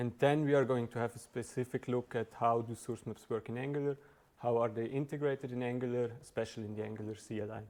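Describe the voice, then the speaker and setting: A very fast, monotone male voice at medium pitch with a Swiss German accent and flat intonation. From southern Switzerland (Valais, Brig). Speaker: software engineer, meetup speaker. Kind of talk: tech talk presentation. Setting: meetup with live audience. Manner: hesitant, with fillers and restarts.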